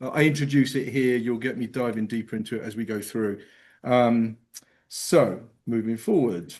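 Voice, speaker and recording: A man with an English accent, medium pitch and ordinary pitch variation, at a moderate pace against a quiet background. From England. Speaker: geospatial and AI consultant. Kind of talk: presentation.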